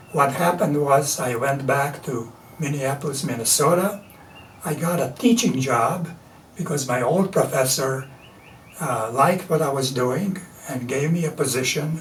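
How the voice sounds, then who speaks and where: In a Latvian accent, the speaker moves at a fairly slow pace with ordinary pitch variation, amid audible room echo and noticeable background noise. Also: man. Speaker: artist and printmaker. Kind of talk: interview. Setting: studio.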